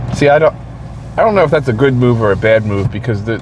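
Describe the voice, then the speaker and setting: A man with an American accent talks amid noticeable background noise and audible echo from the room. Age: 40s. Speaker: vlogger, shift worker and amateur bodybuilder. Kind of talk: casual monologue vlog. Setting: in a car after a shift.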